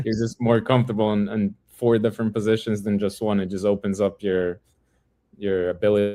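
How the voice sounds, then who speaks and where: This man speaks at a moderate pace with a Portuguese accent, his fairly low voice dark and mellow in tone and monotone, flat in intonation. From Brazil, Sao Paulo. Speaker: professional footballer. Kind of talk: podcast interview.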